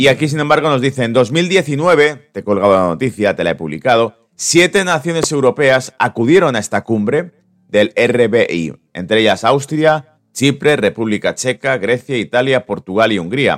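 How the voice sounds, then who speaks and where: Lively intonation and hardly any pauses, in a dry, close sound with no echo and music in the background. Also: man, medium pitch for a man, moderate pace. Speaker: market commentary host. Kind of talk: live market update stream. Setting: live stream. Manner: casual, conversational.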